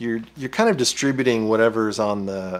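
Speaking at a moderate pace, a man has a fairly low pitch and ordinary pitch variation.

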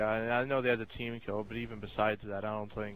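Against noticeable background noise, a man speaks fairly quickly at a medium pitch. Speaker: esports co-commentator. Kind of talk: live commentary.

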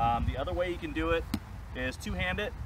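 A man speaks at a very fast pace. Noticeable background noise sits under a dry sound with no echo. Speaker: prop maker demonstrating product. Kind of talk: tutorial. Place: garden. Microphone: camera far.

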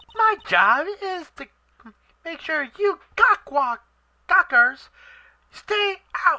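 A female-sounding, put-on character voice at an extremely high pitch, very slow, with long, frequent pauses. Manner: annoying, officious.

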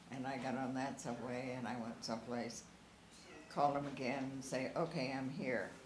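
Over noticeable background noise, a woman with a very deep, low voice talks at a moderate pace with fairly even intonation. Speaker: interviewee recalling family memories; interviewee. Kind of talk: oral history interview. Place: home room. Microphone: camera far.

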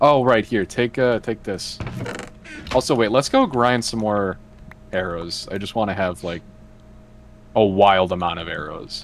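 A man at fairly low pitch, fairly slow pace and long, frequent pauses, with noticeable background noise. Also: ordinary pitch variation. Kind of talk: casual chat while gaming.

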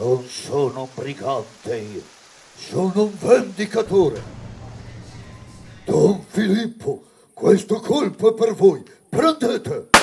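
A man with a high pitch talks at a fairly slow pace, his pitch swinging very widely and his loudness rising and falling a lot, with long, frequent pauses. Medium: read story. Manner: defiant, accusing, grimly resolute.

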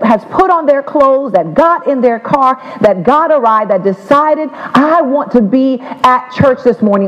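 A man speaks at a moderate pace with an extremely high pitch. His pitch varies in an ordinary way. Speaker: pastor. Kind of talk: sermon opening prayer. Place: church.

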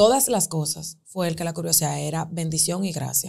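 Her voice has a dark, mellow tone and sounds somewhat breathy. The woman speaks at a moderate pace. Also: quiet background. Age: 20s. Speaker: lawyer and image consultant; lawyer. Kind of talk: interview. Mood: emotional personal storytelling. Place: studio. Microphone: studio mic.

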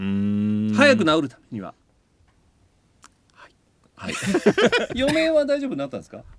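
The man speaks at a fairly quick pace. There is light background noise, and the sound is dry with no echo. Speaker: voice actor. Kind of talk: casual radio talk show banter. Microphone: studio mic.

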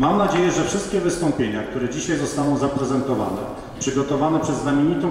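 A man speaks with fairly even intonation. Strong room echo and light background noise are present. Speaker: conference host. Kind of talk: formal welcome speech. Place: hall.

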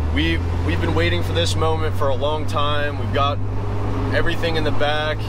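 A man's voice, dry with no echo, amid loud background noise. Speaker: vehicle build vlogger. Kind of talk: casual vlog chat. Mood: excited, upbeat. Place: car. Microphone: phone near.

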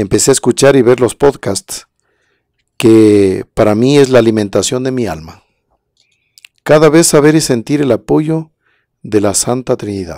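A man with a dark, mellow tone and lively intonation speaks at a fairly slow pace with long, frequent pauses, the sound dry with no echo over a quiet background. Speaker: presenter. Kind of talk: livestream talk with testimonies and prayer. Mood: warm, devotional. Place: studio. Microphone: studio mic.

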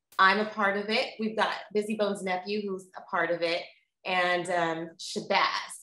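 A woman speaks with ordinary pitch variation. Room echo is audible around her. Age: 40s. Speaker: interviewer. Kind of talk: casual chat. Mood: upbeat, encouraging. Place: home room. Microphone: webcam.

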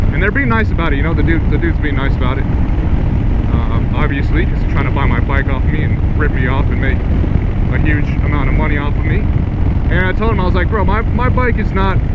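Over loud background noise, a man speaks very fast, and the sound is dry with no echo. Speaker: motorcycle vlogger. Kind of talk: casual vlog chat. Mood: amused, mildly indignant. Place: motorbike.

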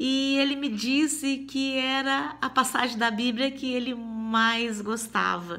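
A woman's raised, projected voice, high in pitch with a bright, sharp tone, at a very slow pace with ordinary pitch variation. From Minas Gerais, Brazil. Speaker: testimony giver. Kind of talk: testimony. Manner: halting. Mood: warm, animated, smiling. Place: home room. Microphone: phone near.

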